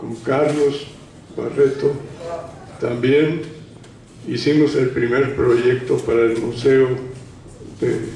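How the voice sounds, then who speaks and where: Amid noticeable background noise and audible room echo, a man speaks at a medium pitch and a very slow pace, with long, frequent pauses and a monotone, flat intonation. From Mexico, Guadalajara, Jalisco. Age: 80s+. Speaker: retired painter, historian speaker. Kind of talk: panel talk.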